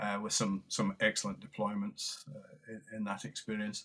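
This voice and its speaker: A man with a Scottish accent, a bright, sharp tone, fairly low pitch, fairly even intonation and a moderate pace. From lowland Scotland. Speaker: retired army general and military historian. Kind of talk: interview. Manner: halting, many fillers and repetitions.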